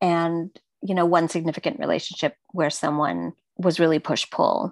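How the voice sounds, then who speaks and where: A woman's unremarkable speaking voice, fairly low in pitch, with fairly even intonation, a moderate pace, and a dry, close sound with no echo. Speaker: client getting astrology reading. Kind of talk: casual conversation, personal reading session.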